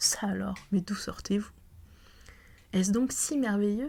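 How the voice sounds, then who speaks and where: The speech is soft-spoken and comes at a fairly slow pace. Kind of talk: audiobook reading, ASMR-style.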